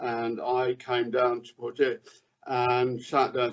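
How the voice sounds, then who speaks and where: A man's voice at a medium pitch. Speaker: stroke survivor with aphasia. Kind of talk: interview answer. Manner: halting, word-finding difficulty.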